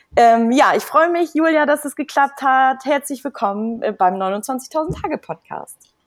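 A woman with a high voice and lively intonation speaks at a fairly slow pace with hardly any pauses, recorded dry and close with no echo. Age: 30s. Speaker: podcast host. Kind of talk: interview.

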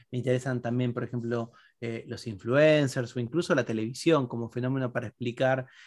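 A man speaks at a medium pitch and a moderate pace in an unremarkable speaking voice. The background is quiet. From Argentina. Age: 40s. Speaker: philosopher and writer. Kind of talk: interview.

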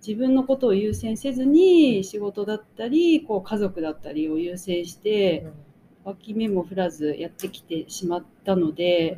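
A woman's dark, mellow voice at medium pitch, fairly slow, with lively intonation and big swings in loudness. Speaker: magazine editor and podcast co-host. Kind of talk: casual chat.

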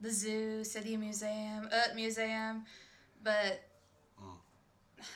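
A woman speaks very slowly in an American accent. Her fairly high voice has a bright, sharp tone. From Michigan. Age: young. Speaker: traveler and coffee shop worker. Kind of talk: casual chat.

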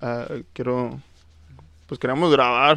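A man talks at a moderate pace in an ordinary speaking voice of medium pitch. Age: 20s. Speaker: singer and musician, paramedic. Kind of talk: casual interview.

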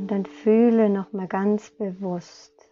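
Very slowly, a woman speaks in a calm, soothing tone at medium pitch, with ordinary pitch variation. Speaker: meditation guide. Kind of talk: guided meditation. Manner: slow, calm, soothing, with long pauses; gentle, soft-spoken.

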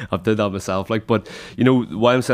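In a very clean recording with a silent background, a man with a Northern Irish accent speaks at a very fast pace and with fairly even intonation. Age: 20s. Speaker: podcast host and personal trainer. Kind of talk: casual chat. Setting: studio.

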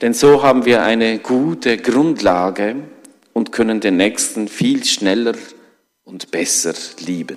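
A man with a non-native accent at a very slow pace, medium-pitched with ordinary pitch variation and long, frequent pauses. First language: not German (speaking German). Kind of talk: sermon. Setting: church.

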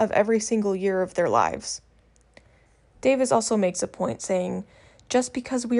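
This is a normal speaking voice at a moderate pace with fairly even intonation. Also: woman. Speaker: first-time podcaster. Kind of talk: opinion monologue.

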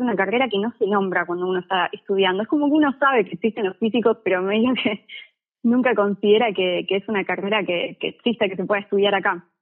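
A normal speaking voice carries lively intonation. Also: woman. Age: 20s. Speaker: physics student. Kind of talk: casual chat. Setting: phone call.

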